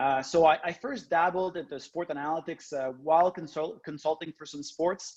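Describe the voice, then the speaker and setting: At a moderate pace, a man speaks with a French-Canadian accent. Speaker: professor. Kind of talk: lecture. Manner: halting, many fillers.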